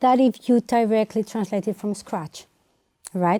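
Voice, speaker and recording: With a Spanish accent, a woman speaks at a moderate pace in a fairly high, dark, mellow voice, recorded very cleanly with a silent background and a dry, close sound with no echo. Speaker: translator. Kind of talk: interview. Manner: halting.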